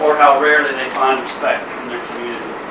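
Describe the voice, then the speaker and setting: Amid noticeable background noise and audible room echo, a man speaks at a fairly quick pace in a fairly high pitch with monotone, flat intonation. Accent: Southern US. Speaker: hospital executive. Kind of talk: ceremony speech.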